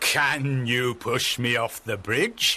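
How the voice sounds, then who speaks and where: A man's medium-pitched voice is a put-on character voice. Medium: read story.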